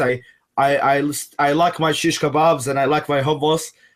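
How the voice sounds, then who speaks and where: Speaking at a moderate pace, a man with an Arabic accent has a fairly high pitch. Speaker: secular activist. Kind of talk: interview conversation. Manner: halting, many restarts.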